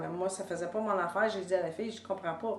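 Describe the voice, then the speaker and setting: A woman's flat, monotone delivery with a Quebec accent. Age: 70s. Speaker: author and public speaker. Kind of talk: personal testimony talk to camera. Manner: casual, hesitant with fillers.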